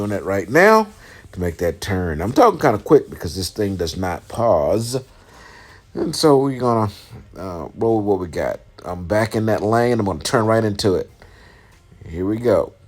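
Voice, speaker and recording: A man with a fairly low pitch speaks with long, frequent pauses. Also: ordinary pitch variation. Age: 50s. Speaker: truck driver and trainer. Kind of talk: tutorial voice-over. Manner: fast; hesitant, many fillers.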